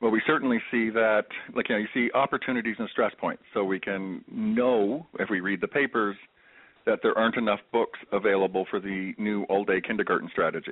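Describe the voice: With fairly even intonation, a man talks at a fairly quick pace in a fairly low pitch.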